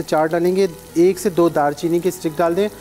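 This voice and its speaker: Faint music plays behind a man whose voice sits high, his delivery fairly slow and his intonation fairly even. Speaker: cooking show host. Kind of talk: tutorial. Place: studio. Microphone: lapel.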